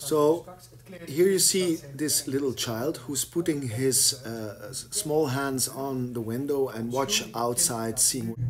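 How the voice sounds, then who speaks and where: Against noticeable background noise, a man speaks at a very slow pace. His medium pitch shows ordinary variation. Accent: Flemish. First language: Dutch. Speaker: painter. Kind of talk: explaining his own artwork. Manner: halting, many fillers and repetitions.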